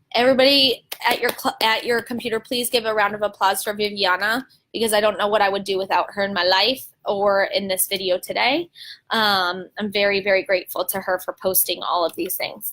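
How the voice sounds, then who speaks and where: A woman speaks loudly at a fairly quick pace, at medium pitch with ordinary pitch variation. Her tone is bright and sharp, energetic and animated. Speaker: teacher running live video chat for teachers. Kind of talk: live stream talk answering viewer questions. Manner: energetic, animated.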